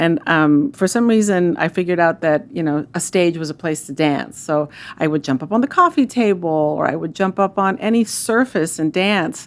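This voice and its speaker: With a fairly low pitch and lively intonation, a woman talks at a moderate pace with hardly any pauses. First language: Spanish. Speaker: food bank CEO. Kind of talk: interview. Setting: studio.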